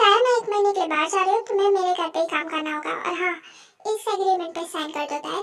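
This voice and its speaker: A woman puts on a squeaky character voice at extremely high pitch, with ordinary pitch variation. She speaks at a very fast pace. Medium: fan dub. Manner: commanding, cool.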